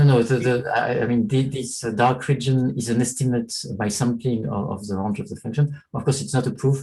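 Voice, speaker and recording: A dark, mellow, somewhat breathy tone at a fairly quick pace, with fairly even intonation and hardly any pauses. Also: man, medium pitch for a man. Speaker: professor. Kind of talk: lecture. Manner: fast.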